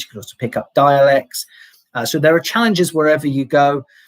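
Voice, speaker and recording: A man talks at a fairly quick pace, his intonation fairly even. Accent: mild English. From England. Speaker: English teacher. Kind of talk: live Q&A stream. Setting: livestream. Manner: hesitant, many fillers and repeats.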